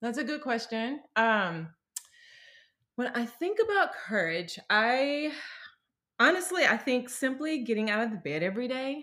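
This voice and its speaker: A woman with an American accent talks at a fairly slow pace in a high, bright, sharp tone, her pitch swinging very widely between long, frequent pauses. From US South, Mississippi. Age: 40s. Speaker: pastor's wife. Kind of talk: casual interview.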